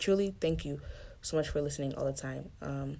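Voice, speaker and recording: Her very deep, low voice has a dark, mellow tone, and this woman shows ordinary pitch variation. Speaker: podcast host. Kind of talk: solo podcast monologue. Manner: fast; rushed.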